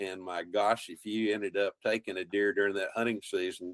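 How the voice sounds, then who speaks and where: A man speaks at a fairly quick pace with a Texan accent and a fairly low pitch. The sound is dry and close, with no echo. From central Texas, Colorado County, German-speaking community. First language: German. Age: 70s. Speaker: wildlife biologist and outdoor TV host. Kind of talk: interview conversation.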